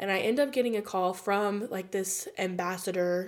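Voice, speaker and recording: A woman with an American accent and a plain, everyday voice speaks at a fairly slow pace, her medium pitch showing ordinary variation. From United States. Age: 20s. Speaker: podcast host. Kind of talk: testimony.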